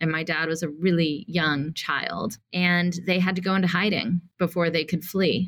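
With an American accent, a woman talks at a moderate pace with hardly any pauses, her fairly low voice holding very even loudness and monotone, flat intonation. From US South, Atlanta, Georgia. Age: 40s. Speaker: nonprofit CEO and activist. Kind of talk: interview.

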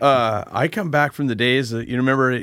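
A man talks at a fairly quick pace and medium pitch, with ordinary pitch variation. His tone is fairly bright, and the recording is very clean with a silent background.

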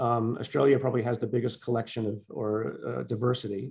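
A man talks at a moderate pace in a normal speaking voice of medium pitch. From born in Liverpool, England, moved to US as child. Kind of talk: interview.

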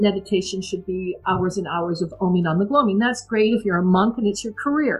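With music in the background, a woman of medium pitch speaks at a fairly quick pace with ordinary pitch variation and hardly any pauses. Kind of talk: storytelling, a personal life story told as a warm, reflective memoir. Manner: animated and emotional, recounting scenes with vivid dialogue and laughter.

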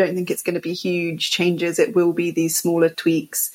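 This woman has a fairly low pitch and speaks in a London accent. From England, London. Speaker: film festival director. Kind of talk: casual interview.

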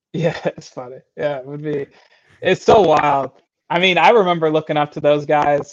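This is a normal speaking voice with an American accent. The pitch varies in an ordinary way. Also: man. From Michigan. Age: 20s. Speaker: CrossFit athlete. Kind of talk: casual interview.

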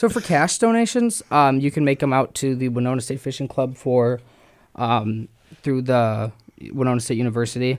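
A man with an American accent speaks in an unremarkable speaking voice at medium pitch and a moderate pace. His intonation is fairly even, and the recording is very clean with a silent background. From Minnesota, Twin Cities. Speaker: college fishing club president. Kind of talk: radio interview. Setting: radio studio.

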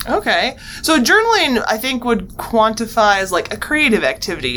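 A woman with a fairly high pitch talks at a moderate pace over noticeable background noise. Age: 30s. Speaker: podcast host, university wellbeing director. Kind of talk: casual interview.

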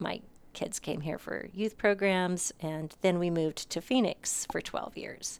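An unremarkable speaking voice, a woman's medium-pitched delivery with an American accent, ordinary pitch variation and a fairly slow pace. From Montana. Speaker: museum spokesperson. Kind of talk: interview. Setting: at the museum.

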